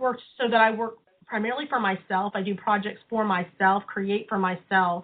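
At a moderate pace, a woman with an ordinary speaking voice talks in a fairly high pitch with fairly even intonation. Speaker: study group participant. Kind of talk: group discussion on conference call. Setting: phone call.

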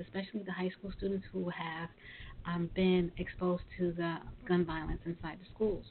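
An unremarkable speaking voice from a woman, medium in pitch, with an American accent and a moderate pace. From Brooklyn, New York. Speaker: podcast host. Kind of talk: interview; show closing remarks.

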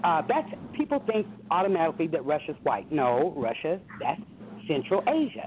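Over noticeable background noise, a woman with a medium-pitched voice talks at a moderate pace with very wide pitch swings. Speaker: caller. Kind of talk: call-in discussion. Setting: phone call.

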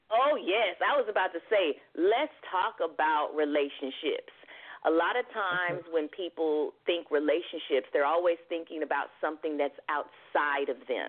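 This woman's voice sits fairly low, moving at a moderate pace with lively intonation. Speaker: singer-songwriter and life coach. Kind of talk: radio talk show interview. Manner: animated.

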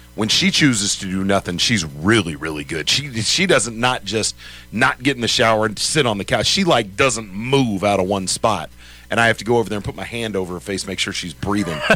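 Music plays behind a man whose fairly low voice has lively intonation and a fairly quick pace. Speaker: sports radio host. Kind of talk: casual chat. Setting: studio.

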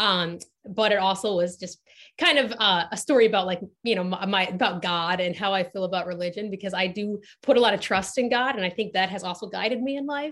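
A woman with an unremarkable speaking voice talks at a fairly quick pace, at a medium pitch with ordinary pitch variation, over a quiet background. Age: 20s. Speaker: marketing executive. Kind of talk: casual chat.

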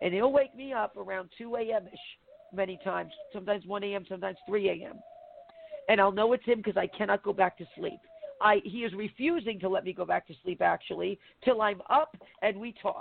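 A woman with a medium pitch speaks at a fairly quick pace, her pitch varying in an ordinary way and her loudness swinging widely, over noticeable background noise. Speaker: prophet and show co-host. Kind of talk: casual chat.

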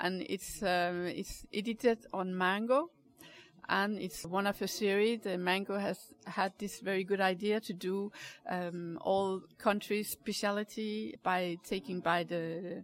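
A woman with a Danish accent speaks at a fairly slow pace, her intonation fairly even. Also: medium pitch for a woman. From Denmark. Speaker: caterer. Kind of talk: interview. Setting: cafe.

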